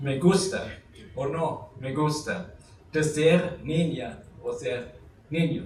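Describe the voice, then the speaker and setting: Amid noticeable background noise and audible room echo, a man talks at a fairly high pitch with fairly even intonation. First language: German (speaking Spanish). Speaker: academic lecturer. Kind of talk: lecture. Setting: university conference hall with audience. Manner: halting, many fillers.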